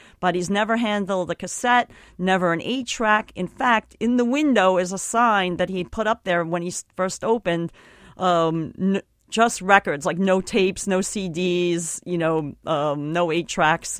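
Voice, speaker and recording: A woman's unremarkable speaking voice at a medium pitch, fairly slow, with ordinary pitch variation, dry and close with no echo. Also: very clean recording, silent background. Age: 40s. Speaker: photographer and author. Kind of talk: interview. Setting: studio.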